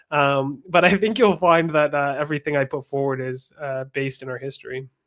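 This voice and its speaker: With a Canadian accent and a normal speaking voice, a man talks at a fairly quick pace in a fairly high pitch, his pitch varying in an ordinary way while his loudness swings widely. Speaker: political activist, organization founder. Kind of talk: political interview.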